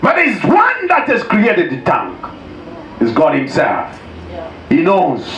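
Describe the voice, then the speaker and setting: Noticeable background noise sits behind a man's voice. He speaks at a fairly slow pace with very wide pitch swings. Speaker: pastor preaching a sermon. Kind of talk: sermon to a congregation.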